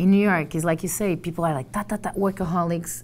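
Against light background noise, a woman with a Portuguese accent talks at a fairly quick pace and a fairly low pitch. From Portugal. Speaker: journalist and trainer. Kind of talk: casual interview. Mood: animated, friendly. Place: office. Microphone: lapel.

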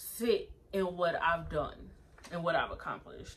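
With light background noise behind her, a woman speaks at a moderate pace. Her tone is bright, sharp and animated. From United States. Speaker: YouTuber reviewing TV episodes. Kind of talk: casual vlog review. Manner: laughs often. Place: home room. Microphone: phone near.

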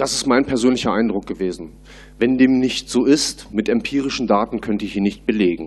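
The pace is fairly quick for this man. Ordinary variation marks his pitch. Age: 30s. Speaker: party board candidate; candidate. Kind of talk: candidate Q&A. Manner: hesitant, many fillers. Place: hall. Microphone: podium.

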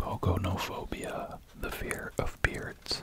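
Very slowly, a man speaks in a whisper. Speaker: ASMR creator. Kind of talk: ASMR sleep video, reading facts. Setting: close-up binaural microphone. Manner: soft-spoken. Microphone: studio mic.

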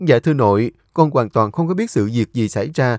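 The intonation sounds lively. The speaker is doing plain reading aloud.

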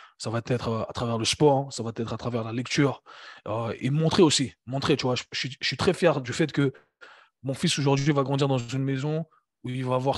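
A man with a plain, everyday voice speaks at a moderate pace and medium pitch, with fairly even intonation, over a quiet background. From Switzerland, Geneva. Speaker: fitness coach and entrepreneur. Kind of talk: casual interview conversation.

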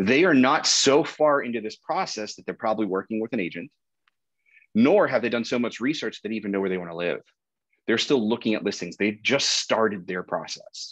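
A man speaks with lively intonation. The background is quiet. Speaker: real estate marketing instructor. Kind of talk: lecture. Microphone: webcam.

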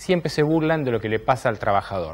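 Speaking at a very fast pace, a man uses a fairly high pitch with very wide pitch swings. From Argentina. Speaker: TV political talk show host. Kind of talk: opinion monologue; interview. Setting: studio. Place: studio. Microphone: lapel.

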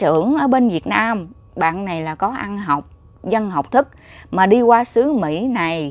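Lively in intonation, a woman talks at a fairly slow pace in a dry sound with no echo. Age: 30s. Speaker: YouTuber vlogger. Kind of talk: casual vlog monologue. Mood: reflective, earnest. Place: home room. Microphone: lapel.

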